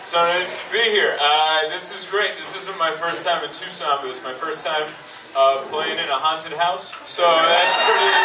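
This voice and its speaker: Loud background noise fills the recording. The pitch varies in an ordinary way. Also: man, moderate pace. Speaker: stand-up comedian. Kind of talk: stand-up comedy set. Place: stage.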